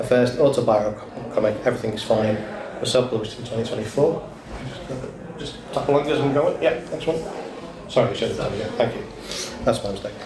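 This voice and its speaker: A man with a Liverpool accent talks very fast at a medium pitch with ordinary pitch variation, his loudness swinging widely and long pauses coming often. The recording has noticeable background noise and an audible room echo. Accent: Scouse. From Liverpool, England. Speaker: panel moderator. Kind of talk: panel introduction. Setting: convention stage with audience.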